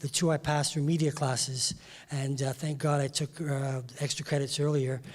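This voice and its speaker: Speaking at a moderate pace, a man with a fairly high pitch keeps a monotone, flat intonation in a somewhat breathy voice. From England, West Indian family, later Toronto. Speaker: music industry insider, former broadcaster. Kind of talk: panel discussion. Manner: hesitant, many fillers.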